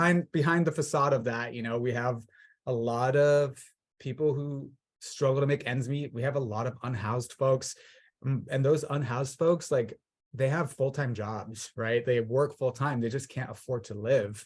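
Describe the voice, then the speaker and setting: A man with an American accent speaks at medium pitch, somewhat breathy, with fairly even intonation. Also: moderate pace. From Southern California (Orange County). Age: 30s. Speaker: political candidate. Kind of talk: interview.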